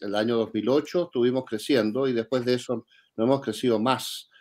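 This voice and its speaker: Recorded very cleanly against a silent background, a man with an unremarkable speaking voice talks at medium pitch with ordinary pitch variation. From Chile. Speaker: think tank director, economist. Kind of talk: interview.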